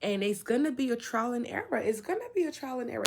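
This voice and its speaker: A woman, somewhat breathy, with lively intonation and a fairly quick pace. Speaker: spiritual vlogger. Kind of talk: casual monologue.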